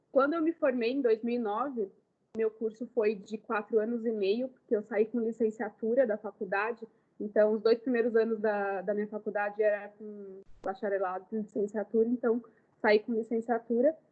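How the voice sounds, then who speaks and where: With a normal speaking voice, a woman talks at a fairly high pitch, keeping her intonation fairly even. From Brazil, Ribeirão Preto (São Paulo state). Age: 30s. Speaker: makeup artist. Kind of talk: lecture. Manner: casual.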